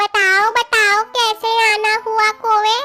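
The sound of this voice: A cartoonish character voice plays over music in the background.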